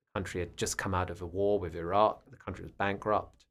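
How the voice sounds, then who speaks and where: This man's voice is very deep and low, with a British accent. The recording is very clean, with a silent background. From UK. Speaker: guest with Middle East experience. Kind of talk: casual chat.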